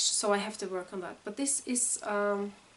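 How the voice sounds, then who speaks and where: In a Norwegian accent, a woman speaks at a moderate pace with a medium pitch and ordinary pitch variation. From Norway. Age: 40s. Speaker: knitting vlogger and teacher. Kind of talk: casual vlog introduction. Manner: halting, many fillers.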